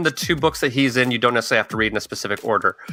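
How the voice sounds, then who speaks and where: Over music in the background, a man speaks at a very fast pace with very wide pitch swings. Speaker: podcast host. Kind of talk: casual chat.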